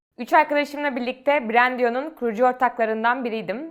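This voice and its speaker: A woman talks at a fairly quick pace with ordinary pitch variation. She has a normal speaking voice. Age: 20s. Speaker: university student and startup founder. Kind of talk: interview monologue.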